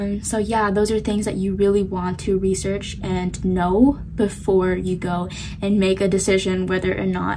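Over noticeable background noise, a woman speaks at a moderate pace with fairly even intonation. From South Korea. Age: young. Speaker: college student. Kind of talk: casual vlog talk to camera. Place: home room. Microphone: phone near.

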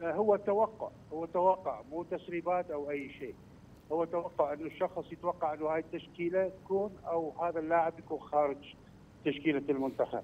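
Ordinary pitch variation comes with a fairly slow delivery. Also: man. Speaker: football official. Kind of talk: interview.

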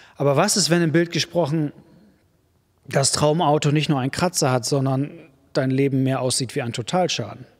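Against a quiet background, a man speaks at a moderate pace with ordinary pitch variation and long, frequent pauses. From Germany. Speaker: preacher. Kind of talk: sermon. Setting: church. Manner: warm, direct, conversational address; emphatic, repetitive for effect. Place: church. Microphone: studio mic.

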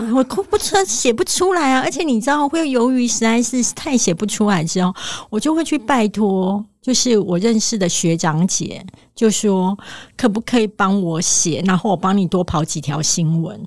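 A woman talks at a moderate pace in a fairly high pitch, with very wide pitch swings. The recording is very clean, with a silent background. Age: 40s. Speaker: author. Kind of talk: interview.

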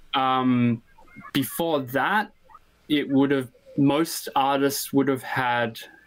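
With an Australian accent, the speaker goes very slowly with long, frequent pauses, fairly even intonation and very even loudness against a quiet background. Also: man, fairly high pitch for a man. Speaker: interview guest. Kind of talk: casual interview chat. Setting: video call. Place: workshop.

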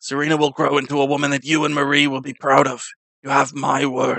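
A man's put-on character voice, monotone and flat, at a very fast pace. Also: fairly high pitch for a man. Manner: formal, solemn, kind.

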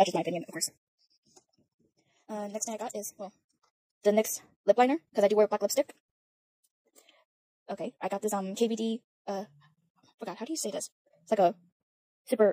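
Over a quiet background with a dry sound and no echo, a woman with a dark, mellow tone talks very fast yet shakily, with long, frequent pauses, big swings in loudness and ordinary pitch variation. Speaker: beauty vlogger. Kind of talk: casual makeup talk to camera. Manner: hesitant, stuttering, many fillers; awkward, shaky. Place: home room. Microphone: phone near.

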